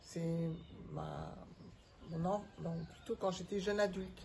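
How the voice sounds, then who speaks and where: Very slowly and somewhat breathily, a woman speaks at medium pitch with fairly even intonation. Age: 70s. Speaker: retired organisational development consultant. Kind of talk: interview. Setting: outdoors on a terrace. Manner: hesitant, many filler sounds.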